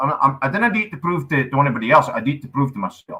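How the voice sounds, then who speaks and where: A man speaks with a strong Scottish accent. His fairly high voice sounds bright and sharp, with lively intonation. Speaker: comedian, actor and wildlife ranger. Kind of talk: casual chat. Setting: live online show.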